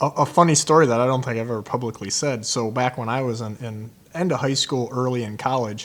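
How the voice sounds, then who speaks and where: A man's medium-pitched voice at a very fast pace with hardly any pauses. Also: fairly even intonation. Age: 40s. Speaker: podcast host and fishing guide. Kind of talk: casual chat.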